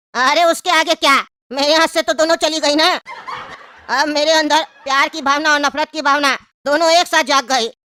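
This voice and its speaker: Delivered at a fairly quick pace, this cartoonish character voice sits at a high pitch. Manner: cheeky, comic.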